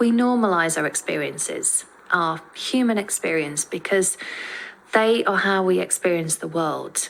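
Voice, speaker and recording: A woman speaks at a medium pitch with ordinary pitch variation and a fairly slow pace. Noticeable background noise runs under her voice. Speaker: podcaster. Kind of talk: scripted podcast monologue. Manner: careful, effortful pronunciation.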